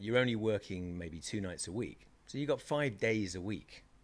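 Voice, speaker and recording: This man speaks at a medium pitch with a British accent and lively intonation, on a very clean recording with a silent background. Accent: British, kept after years in America. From England, Reading. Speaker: DJ and actor. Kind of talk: interview. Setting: studio. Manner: casual, conversational.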